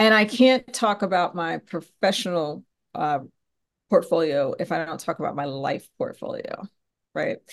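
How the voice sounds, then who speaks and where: A woman's ordinary speaking voice, medium in pitch, with an American accent. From US, Philadelphia area, Pennsylvania. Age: 50s. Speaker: podcast host and business professor. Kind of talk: interview, answering questions.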